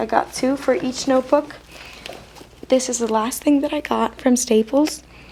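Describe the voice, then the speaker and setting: A woman speaks over noticeable background noise. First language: not English. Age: student. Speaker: stationery haul youtuber. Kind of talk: casual product haul. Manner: hesitant, filler-heavy.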